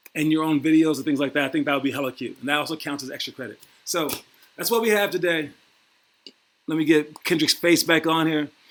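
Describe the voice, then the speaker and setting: A man speaks at a very fast pace with a fairly high pitch and ordinary pitch variation. Long, frequent pauses break up his speech. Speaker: youth basketball coach. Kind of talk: online class announcements. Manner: loud.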